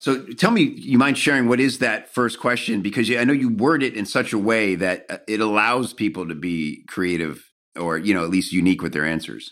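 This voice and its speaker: Fairly quick with hardly any pauses, a man's unremarkable speaking voice sits fairly low in pitch yet carries lively intonation, on a very clean recording with a silent background. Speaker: podcast host. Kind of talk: casual interview chat. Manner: jokey, friendly.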